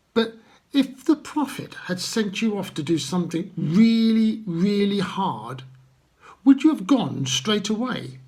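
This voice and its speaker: A man puts on a character voice at a high pitch, mumbling his words. His pace is fairly slow and his intonation lively. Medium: read story. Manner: mumbling, deferential.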